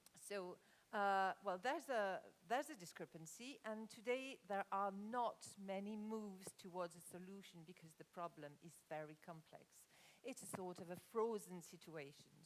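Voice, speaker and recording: With a slight French accent, a woman speaks at a medium pitch and a moderate pace. Her intonation is lively. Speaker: conference speaker on corporate real estate. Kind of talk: conference presentation. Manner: halting, many fillers.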